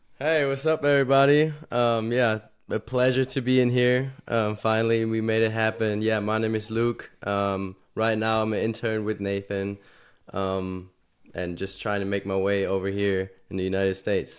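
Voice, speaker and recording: Speaking with a German accent at a moderate pace, a man has a fairly low pitch with ordinary variation, on a very clean recording with a silent background. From Germany. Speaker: college student and intern. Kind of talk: casual podcast chat. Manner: hesitant, many filler ums.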